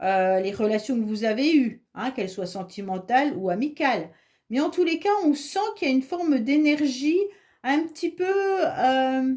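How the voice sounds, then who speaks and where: A woman speaks at a moderate pace in a high voice with a dark, mellow tone and very wide pitch swings. The recording is very clean, with a silent background. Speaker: tarot reader. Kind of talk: tarot reading. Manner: casual, hesitant with fillers.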